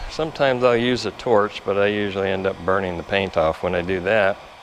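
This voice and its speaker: Noticeable background noise surrounds a man whose pitch varies in an ordinary way. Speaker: auto body repair hobbyist. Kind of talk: tutorial.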